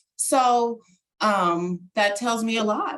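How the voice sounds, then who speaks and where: This woman's voice carries a fair amount of breath. Its pitch sits in the middle range. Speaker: parent program trainer. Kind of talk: webinar presentation. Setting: video call. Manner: animated.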